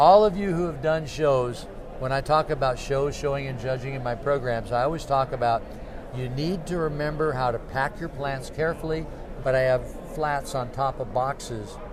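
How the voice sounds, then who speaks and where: A man with a fairly high pitch and ordinary pitch variation speaks at a moderate pace, with audible room echo and noticeable background noise. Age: 70s. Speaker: cactus grower and show organizer. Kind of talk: interview.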